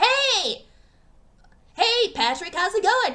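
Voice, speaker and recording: The speaker adopts a put-on character voice pitched extremely high. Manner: put-on cartoon voice.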